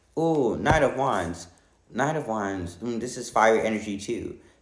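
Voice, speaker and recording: A man at a medium pitch, with very wide pitch swings and audible room echo. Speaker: tarot reader. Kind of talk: tarot reading monologue. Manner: fast.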